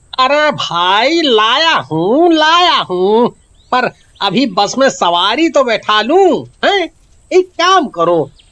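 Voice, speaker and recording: Doing a put-on character voice, a man speaks at an extremely high pitch in a raised, projected voice, very slowly, with very wide pitch swings and very even loudness. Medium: read story. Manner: evasive, irritable.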